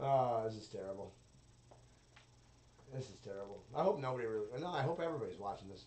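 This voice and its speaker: A man speaks very fast at a medium pitch, his intonation lively and his loudness swinging widely. Long pauses come often, and the room echo is audible. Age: 30s. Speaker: solo podcaster. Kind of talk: casual monologue.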